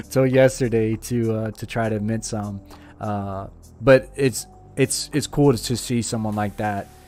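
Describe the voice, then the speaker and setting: Over music in the background, a man with a Louisiana accent talks at a moderate pace with monotone, flat intonation. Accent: Louisiana Southern US. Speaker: crypto NFT livestream host. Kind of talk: casual chat.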